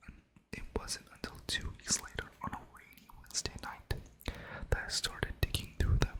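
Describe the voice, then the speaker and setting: Noticeable background noise accompanies whispered speech delivered at a moderate pace. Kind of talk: scary story reading. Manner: casual, chatty intro to camera.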